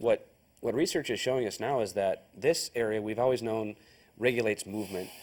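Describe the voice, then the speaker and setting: On a very clean recording with a silent background, a man speaks fairly quickly at medium pitch with ordinary pitch variation. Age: young. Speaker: chiropractor. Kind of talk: TV interview. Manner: halting.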